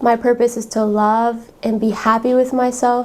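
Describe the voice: A woman's slightly mellow tone at a moderate pace, with little pitch movement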